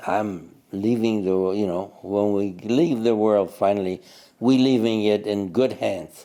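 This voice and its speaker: Dark, mellow tone at a fairly slow pace with ordinary pitch variation, in a very clean recording with a silent background. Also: man, fairly low pitch for a man. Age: 90s. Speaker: Holocaust survivor. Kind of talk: testimony.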